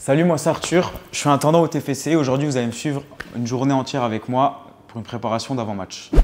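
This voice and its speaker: There is noticeable background noise as a man speaks. His fairly high voice moves at a very fast pace. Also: ordinary pitch variation. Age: 20s. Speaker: football club kit manager. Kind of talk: casual interview talk. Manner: hesitant, many fillers.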